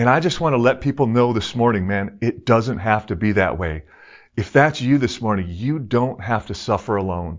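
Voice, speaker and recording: With an ordinary speaking voice, a man at medium pitch speaks at a moderate pace and with lively intonation. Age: 50s. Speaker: pastor, former pro hockey player. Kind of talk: sermon.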